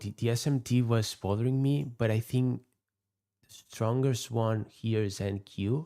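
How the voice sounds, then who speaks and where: The speaker has a dark, mellow tone and a non-native accent, captured in a very clean recording with a silent background. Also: man. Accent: non-native English, noticeable. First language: not English. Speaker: futures day trader, live streamer. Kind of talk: live trading stream commentary. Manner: halting, with repetitions and fillers.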